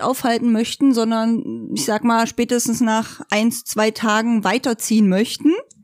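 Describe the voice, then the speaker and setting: At a moderate pace, a woman speaks with a fairly high pitch in a plain, everyday voice. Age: 30s. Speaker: motorhome traveller. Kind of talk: casual chat. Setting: living room, rain outside.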